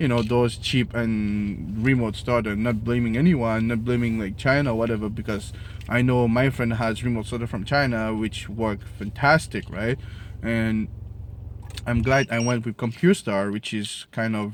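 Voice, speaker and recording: The speaker has a strong non-native accent, fairly even intonation and a moderate pace. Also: man. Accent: strong French Creole. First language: Creole/French. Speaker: product reviewer. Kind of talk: casual product review to camera. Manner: hesitant, many fillers.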